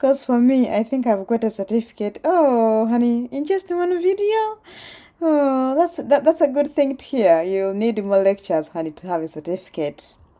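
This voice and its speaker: A woman's high-pitched voice in a Ugandan accent, dark and mellow in tone, with very wide pitch swings at a moderate pace. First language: Luganda. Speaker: PhD student and vlogger. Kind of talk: casual vlog reading comments. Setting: outdoors cycling. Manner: animated.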